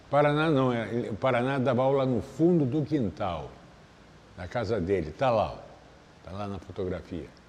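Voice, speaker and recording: At a moderate pace and medium pitch, a man talks with long, frequent pauses and big swings in loudness. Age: 60s. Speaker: capoeira master. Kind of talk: interview. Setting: capoeira academy.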